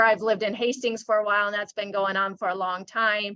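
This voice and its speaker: A woman's fairly high, bright, sharp voice at a fairly quick pace. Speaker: nonprofit regional director. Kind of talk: presentation. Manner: fast.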